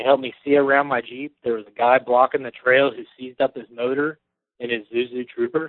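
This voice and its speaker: Speaking at a fairly quick pace with a medium pitch, a man with an American accent keeps a monotone, flat intonation while his loudness takes big swings. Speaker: caller, Jeep owner. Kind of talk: call-in chat. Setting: phone call.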